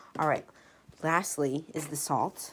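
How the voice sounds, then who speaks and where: Pitch variation in this voice is ordinary. Noticeable background noise can be heard. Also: woman. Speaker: baking podcast host. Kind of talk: casual cooking tutorial. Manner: casual, with filler words; occasional stumbling.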